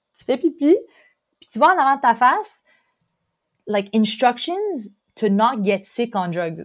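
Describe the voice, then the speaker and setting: A woman's lively intonation at a fairly slow pace, on a very clean recording with a silent background. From Quebec, Montreal. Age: 20s. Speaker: exchange student. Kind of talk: casual chat.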